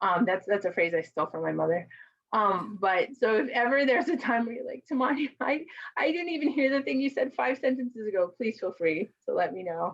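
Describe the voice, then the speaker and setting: A woman at a fairly quick pace, fairly high pitch with very wide pitch swings, and vocal fry. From Mexican American, US. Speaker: conference presenter and caregiver advocate. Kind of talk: presentation to a virtual conference. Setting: virtual conference video call. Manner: fast.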